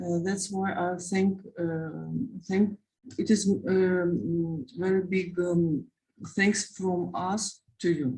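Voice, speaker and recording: Speaking very slowly at medium pitch, a woman has a dark, mellow tone, a somewhat breathy voice and fairly even intonation. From Ukraine. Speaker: war refugee, mother. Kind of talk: testimony. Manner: halting, many hesitations.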